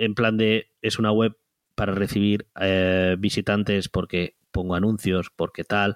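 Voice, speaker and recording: Fairly slow, monotone, flat speech with very even loudness, a dry, close sound with no echo, and a very clean recording with a silent background. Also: man. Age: 30s. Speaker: web entrepreneur. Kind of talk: interview.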